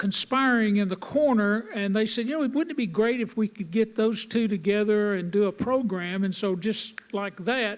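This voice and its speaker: With hardly any pauses, a man talks at a high pitch over noticeable background noise. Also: ordinary pitch variation, moderate pace. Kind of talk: presenting photos in a stage conversation. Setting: theatre stage.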